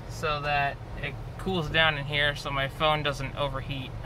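A man speaks in a monotone, flat way at a fairly slow pace, with noticeable background noise behind him. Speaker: passenger vlogger. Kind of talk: casual vlog chat. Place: car. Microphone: phone near.

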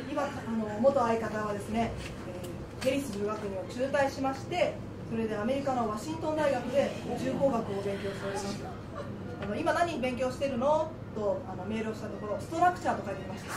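A woman's fairly quick speech with ordinary pitch variation, music playing in the background. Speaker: comedian. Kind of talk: comedy sketch performance. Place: studio.

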